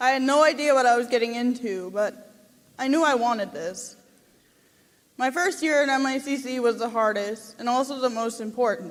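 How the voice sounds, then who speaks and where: A woman's high-pitched voice with an Upper Midwest accent, lively in intonation, at a moderate pace. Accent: Upper Midwest American. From Minnesota, Saint Paul. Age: 20s. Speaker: college graduate giving a speech. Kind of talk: prepared speech at a gala. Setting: stage with audience.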